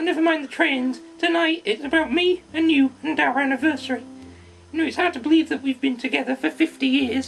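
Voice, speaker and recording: Over clear background music, a cartoonish character voice with a high pitch moves at a fairly quick pace. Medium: puppet.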